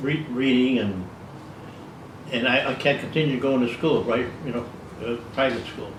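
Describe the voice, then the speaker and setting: Noticeable background noise sits behind a man with an American accent. He talks at a fairly slow pace and medium pitch, with ordinary pitch variation. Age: 80s+. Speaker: retired musician. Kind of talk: interview answer. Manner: hesitant, halting.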